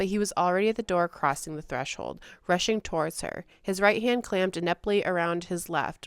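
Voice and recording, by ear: Natural read-aloud delivery with pitch that varies in an ordinary way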